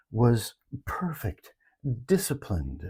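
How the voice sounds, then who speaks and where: A dark, mellow, somewhat breathy voice comes through on a very clean recording with a silent background. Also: man. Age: 70s. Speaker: retired elder sharing life lessons. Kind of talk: reflective personal talk.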